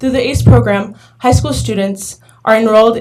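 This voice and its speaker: A woman speaks fairly quickly with lively intonation and vocal fry. Her tone is dark and mellow. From Arizona, US. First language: Spanish. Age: young. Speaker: community college student, public commenter. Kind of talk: public comment speech, read prepared statement. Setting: governing board meeting. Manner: halting, occasional stumbles.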